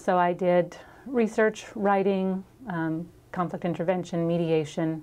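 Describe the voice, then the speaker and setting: A woman's dark, mellow tone with a slight Minnesota accent, fairly even intonation and a fairly slow pace. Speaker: chamber of commerce membership manager. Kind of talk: interview.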